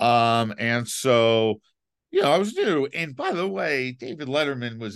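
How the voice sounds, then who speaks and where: The man speaks at a fairly slow pace. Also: quiet background. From New York City (Manhattan, Upper East Side). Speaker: TV comedy writer, former NBC page. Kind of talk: casual chat. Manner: halting, many fillers.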